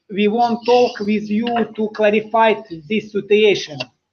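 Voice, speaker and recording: A man speaks with a Russian accent. His pitch is high. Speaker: interviewer. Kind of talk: interview. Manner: halting.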